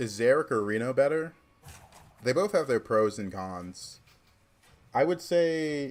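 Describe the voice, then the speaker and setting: A man speaks at a fairly slow pace with lively intonation and a slight Southern US accent. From US South, Georgia. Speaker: streamer, card game player. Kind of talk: livestream gameplay commentary. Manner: casual, chatty.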